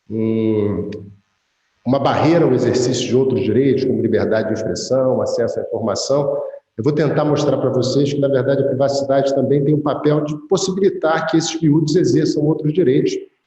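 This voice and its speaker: In a Brazilian accent, a man speaks at a fairly quick pace with a fairly high pitch and ordinary pitch variation. His loudness stays very even, and audible room echo surrounds him. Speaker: conference speaker, data protection officer. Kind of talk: conference talk. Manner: hesitant, many fillers.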